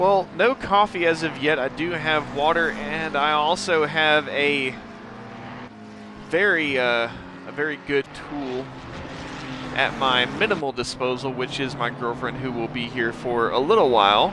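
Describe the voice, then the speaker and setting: A man with an American accent, fairly high pitch and a fairly slow pace, over noticeable background noise. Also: ordinary pitch variation. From United States, various places. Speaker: sim racing commentator. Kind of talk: live commentary. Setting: live stream.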